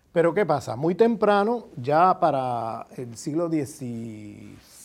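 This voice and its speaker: Very slowly, a man talks in a fairly high pitch with very wide pitch swings. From Puerto Rico. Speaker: sociologist and university professor. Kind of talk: interview answer. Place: home room.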